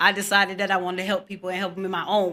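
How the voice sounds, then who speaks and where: The voice has a bright, sharp tone. It comes on a very clean recording with a silent background. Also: woman. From Pontiac, Michigan, US. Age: 40s. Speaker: mental health advocate. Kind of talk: interview. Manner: fast.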